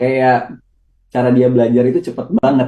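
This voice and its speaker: Speech moves at a fairly slow pace. Its tone is dark and mellow. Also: man. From Bali. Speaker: actor. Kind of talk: TV interview.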